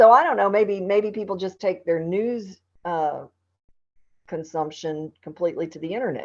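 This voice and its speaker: A woman's medium-pitched voice with lively intonation at a moderate pace. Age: 60s. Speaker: TV news anchor. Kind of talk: casual chat. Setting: podcast interview.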